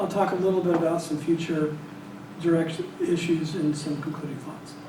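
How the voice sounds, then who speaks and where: Monotone, flat delivery at a fairly quick pace, with noticeable background noise and audible room echo. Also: man. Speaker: statistics professor giving a plenary talk. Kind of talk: lecture. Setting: small room with audience. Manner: hesitant, many fillers.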